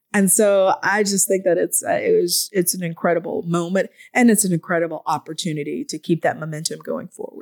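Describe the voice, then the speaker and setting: A woman talks at a fairly quick pace with hardly any pauses, her pitch medium with ordinary variation. The sound is dry and close with no echo. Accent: American. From Atlanta, Georgia, US South. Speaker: historian and environmental advocate. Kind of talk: interview conversation. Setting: podcast studio. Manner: animated.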